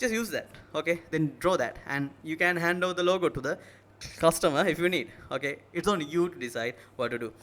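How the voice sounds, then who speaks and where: This man speaks with a Sri Lankan accent. His voice is high in pitch. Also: ordinary pitch variation, fairly quick pace. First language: Sinhala. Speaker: tech tutorial youtuber. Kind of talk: tutorial. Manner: halting.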